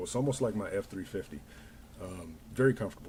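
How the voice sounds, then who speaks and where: A man with an American accent, fairly low pitch and ordinary pitch variation, somewhat breathy and dark, mellow in tone, at a fairly quick pace. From Denver, Colorado. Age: 40s. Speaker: livestreamer and small business owner. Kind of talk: casual chat. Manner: halting.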